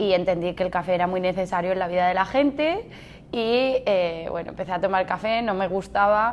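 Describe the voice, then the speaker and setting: The speaker is a woman with a medium pitch and ordinary variation. Her pace is fairly quick. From Spain, Mallorca (Palma). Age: 30s. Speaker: barista and café manager. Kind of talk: interview answers. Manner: hesitant, with fillers and restarts.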